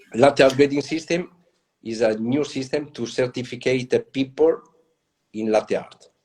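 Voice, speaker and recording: In an Italian accent, a man speaks at a moderate pace and medium pitch with ordinary pitch variation, leaving long, frequent pauses. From Italy. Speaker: latte art pioneer and trainer. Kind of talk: interview. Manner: halting.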